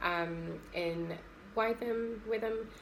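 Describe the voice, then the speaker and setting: A woman with a southern English accent shows ordinary pitch variation. Audible room echo can be heard. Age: 30s. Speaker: occupational therapy student. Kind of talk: personal testimony. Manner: hesitant, many fillers.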